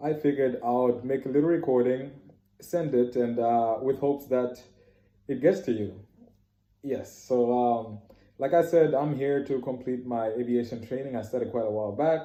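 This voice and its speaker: This man talks at a moderate pace, his medium-pitched voice keeping a fairly even intonation. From Canada. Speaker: trainee pilot giving testimony. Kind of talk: testimony. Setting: self-made recording. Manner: hesitant, many fillers.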